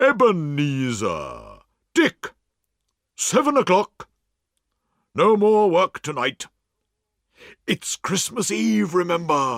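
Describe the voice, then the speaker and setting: A man puts on a character voice pitched high. He speaks at a very slow pace with very wide pitch swings. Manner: happy, cheerful.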